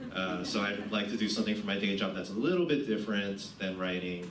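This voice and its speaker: A man's very deep, low voice amid noticeable background noise and audible room echo. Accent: American. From US Northeast, New Jersey. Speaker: poet giving a reading. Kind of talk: literary reading presentation. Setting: college event with audience. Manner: casual, hesitant with fillers.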